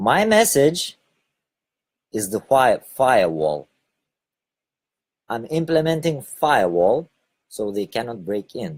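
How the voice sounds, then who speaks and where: A man speaks at a very slow pace with long, frequent pauses. His pitch swings very widely. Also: medium pitch for a man. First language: Lithuanian. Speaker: spiritual video blogger. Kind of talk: casual monologue broadcast. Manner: hesitant, with fillers.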